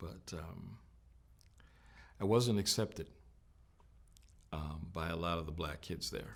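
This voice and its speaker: Marked by vocal fry, a man talks at a fairly slow pace with long, frequent pauses and ordinary pitch variation. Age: old. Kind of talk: interview answer.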